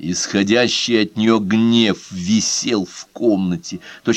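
An unforced reading voice, with ordinary pitch variation

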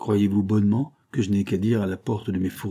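Reading done in an unforced reading voice

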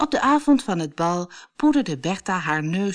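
This is plain reading aloud. Nothing else marks the delivery.

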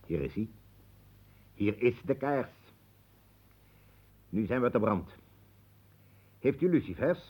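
A man's put-on character voice, slow and medium-pitched, with a slightly husky edge, big pitch swings and long, frequent pauses.

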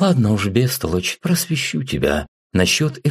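Plain reading aloud takes place against a quiet background.

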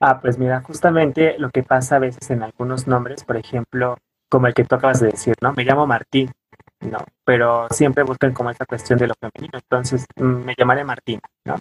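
At a fairly quick pace, a man speaks in a somewhat breathy voice of medium pitch with monotone, flat intonation. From Oaxaca coast, Mexico (Pinotepa Nacional). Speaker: anthropologist and weaver. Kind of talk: interview. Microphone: poor audio from technical problems.

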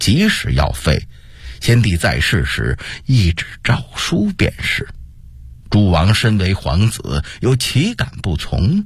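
Slow, put-on character voice from a man, fairly low in pitch with very wide pitch swings

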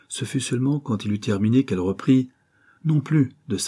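The speaker is doing plain reading aloud.

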